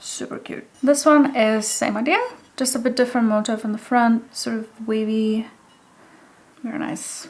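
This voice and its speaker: The speaker has a non-native accent and talks at a moderate pace with ordinary pitch variation. Noticeable background noise is present. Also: woman. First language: not English. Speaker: hobby potter. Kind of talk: casual show-and-tell vlog.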